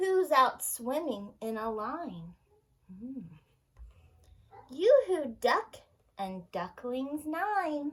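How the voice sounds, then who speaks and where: A woman speaks very slowly at a high pitch, with very wide pitch swings. Long pauses come often. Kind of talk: children's storytime read-aloud. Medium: read story. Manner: cheerful, sing-song, gentle.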